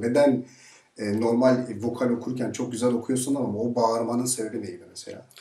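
Monotone, flat male delivery at a fairly quick pace amid audible room echo. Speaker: journalist. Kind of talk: interview host questions. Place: studio.

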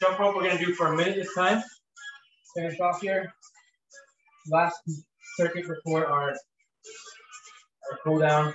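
A man at a high pitch and a very slow pace, with ordinary pitch variation, audible room echo and music in the background. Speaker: fitness instructor. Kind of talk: live workout coaching with countdowns and rep cues. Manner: casual, filler-heavy with frequent ums and uhs. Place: home room. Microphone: camera far.

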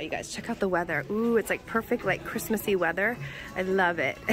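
A woman at a very fast pace with ordinary pitch variation, dry with no echo, over faint music in the background. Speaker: shopping vlogger. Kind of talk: casual vlog chat. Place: shop. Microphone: phone near.

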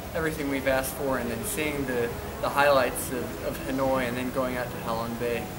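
Loud noise fills the background. Over it, a man talks at a moderate rate. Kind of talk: testimonial interview answer. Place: home room. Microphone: camera far.

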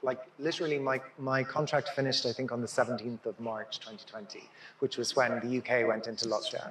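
Audible room echo and light background noise accompany speech at a moderate pace. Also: man. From Ireland. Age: 50s. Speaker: dancer and choreographer. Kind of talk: public conversation. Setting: stage with audience. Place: hall.

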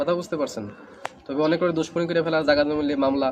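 A fairly high-pitched man's voice in a flat monotone, with crowd noise in the background. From Northeast India. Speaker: traditional healer. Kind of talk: interview.

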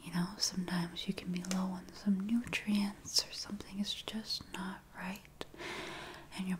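Speaking fairly slowly, a woman keeps her voice to a whisper. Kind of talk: role-play consultation. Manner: soft, hushed ASMR speaking voice. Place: home room.

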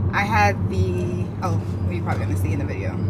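Moderate-paced speech over loud background noise. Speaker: vlogger. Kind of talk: casual vlog chat. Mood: relaxed, cheerful. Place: car.

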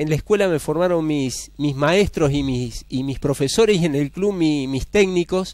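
Lively intonation runs through speech at a fairly slow pace. The sound is dry with no echo over a quiet background. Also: man. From Argentina, San Cristóbal, Santa Fe; Santa Fe, Argentina. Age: 40s. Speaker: mayoral candidate; candidate. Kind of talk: TV interview. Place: studio. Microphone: headset.

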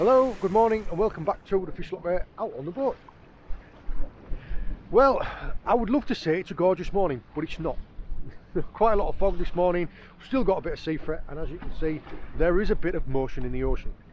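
A man speaks high for his voice, with lively intonation. The sound is dry with no echo, and light background noise is present. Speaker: fishing vlogger. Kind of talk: casual vlog chat. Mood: cheerful despite poor weather. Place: boat. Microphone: phone near.

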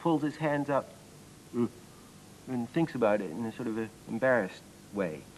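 A man speaks with lively intonation. Light background noise can be heard. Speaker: presenter. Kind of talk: tutorial. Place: studio.

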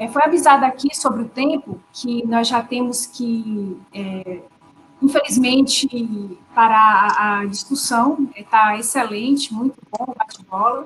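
Against light background noise, a woman talks at a fairly slow pace in a high voice with ordinary pitch variation. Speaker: university professor and course coordinator; university professor. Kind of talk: panel discussion. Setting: video call live stream. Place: home room. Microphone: video call.

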